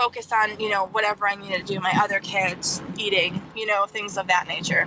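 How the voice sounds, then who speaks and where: A woman with a Midwestern American accent speaks at a medium pitch and a moderate pace. Her intonation is monotone and flat, over noticeable background noise. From Ohio. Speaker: mother of triplets. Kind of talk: interview answer. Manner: casual, conversational.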